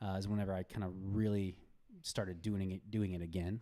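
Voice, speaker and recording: A man's dark, mellow tone, fairly low in pitch, at a moderate pace, on a very clean recording with a silent background. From Kentucky. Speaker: surfboard builder and entrepreneur. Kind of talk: podcast interview. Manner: halting.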